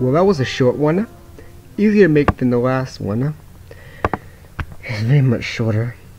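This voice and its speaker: Music plays in the background as the speaker uses lively intonation with long, frequent pauses. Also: man, medium pitch for a man, moderate pace. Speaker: amateur nature video narrator. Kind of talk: documentary narration. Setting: home recording under blanket, low-quality mic. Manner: occasional stutter.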